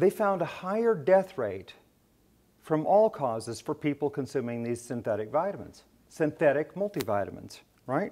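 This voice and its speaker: Moving at a moderate pace, a man's dark, mellow voice makes very wide pitch swings. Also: fairly high pitch for a man. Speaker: ophthalmologist giving a lecture. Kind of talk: lecture. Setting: stage with audience at a medical education event. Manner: passionate. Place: hall.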